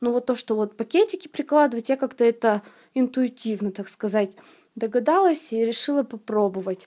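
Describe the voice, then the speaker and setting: At a moderate pace, a woman speaks with a high pitch, lively intonation and a dark, mellow tone. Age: 20s. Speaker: medical college student sharing a testimonial. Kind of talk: testimony. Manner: halting, with many fillers.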